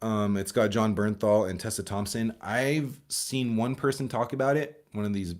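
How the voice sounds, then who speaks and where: A man speaks at a moderate pace with a medium pitch. The recording is very clean, with a silent background. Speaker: movie reviewer streamer. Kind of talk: live stream casual chat. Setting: live stream with chat. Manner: stumbling, repeats words.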